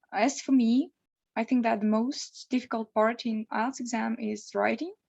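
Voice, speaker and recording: Delivered with a Russian accent, the speech is fairly slow with fairly even intonation. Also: woman. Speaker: law student preparing for exam. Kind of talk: online interview. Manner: hesitant.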